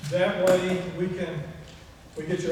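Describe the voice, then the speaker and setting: Through audible room echo and noticeable background noise, a man with a high voice speaks in a flat monotone at a moderate pace. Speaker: woodworking club meeting leader. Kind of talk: club meeting announcements. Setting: meeting room with group, no PA. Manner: loud; halting. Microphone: no microphone, recorded from room camera.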